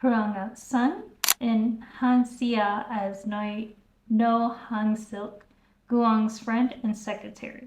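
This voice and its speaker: At a very slow pace, a woman speaks in a somewhat breathy voice with a fairly high pitch. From US South. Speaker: YouTuber reviewing K-dramas. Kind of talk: casual video review.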